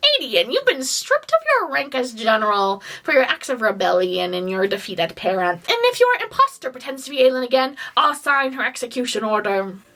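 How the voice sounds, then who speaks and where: A woman in a nasal, menacing put-on character voice, high in pitch, rattles along at a fairly quick pace with hardly any pauses. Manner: cranky, menacing.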